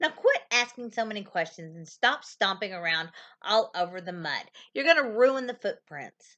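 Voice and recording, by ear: Someone is reading aloud in a natural voice, with lively intonation throughout.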